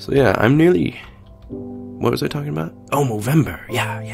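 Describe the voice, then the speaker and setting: Music runs underneath the recording. Over it, a man talks fairly slowly. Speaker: gamer commentating gameplay. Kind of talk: casual, profane.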